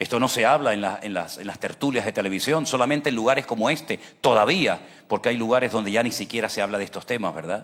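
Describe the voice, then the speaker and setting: Very fast speech from a man, medium in pitch and with ordinary variation in it. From Venezuela. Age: 60s. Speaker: pastor. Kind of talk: sermon. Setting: church service, livestreamed. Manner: emphatic, rhetorical questions.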